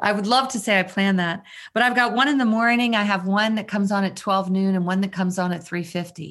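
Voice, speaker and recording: A woman's plain medium-pitched voice in an American accent, a normal speaking voice with ordinary pitch variation on a very clean recording with a silent background. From Maryland, US. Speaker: mindfulness teacher and leadership consultant. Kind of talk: interview.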